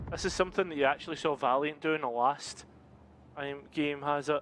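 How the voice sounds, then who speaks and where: A man talks at a moderate pace. He has a Scottish accent. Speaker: esports caster. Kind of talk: live commentary.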